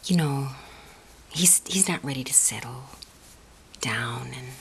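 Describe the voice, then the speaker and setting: A soft-spoken woman talks at a fairly slow pace in a gentle tone and a very deep, low pitch. Noticeable background noise sits behind her. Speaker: friend doing the listener's makeup (roleplay). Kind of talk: ASMR roleplay, soft spoken talk to the listener. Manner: soft-spoken, gentle, consoling.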